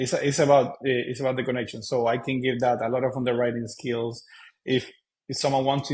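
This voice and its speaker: In a Cuban accent, a man speaks in a somewhat breathy, medium-pitched voice with monotone, flat intonation. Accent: Cuban Spanish accent, non-native English. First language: Spanish. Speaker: real estate investor. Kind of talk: interview conversation. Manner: hesitant, many fillers.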